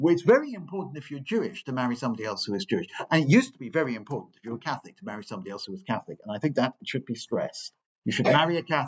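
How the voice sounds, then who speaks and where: Somewhat breathy and fairly high, a man's voice races along very fast, with very wide pitch swings and big shifts in loudness. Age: 60s. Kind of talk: parish talk with questions. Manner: hesitant, repetitive.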